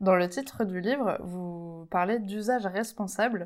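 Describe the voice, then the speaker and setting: The background is silent and the recording very clean. A woman speaks throughout. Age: 30s. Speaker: podcast host. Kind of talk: interview. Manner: halting.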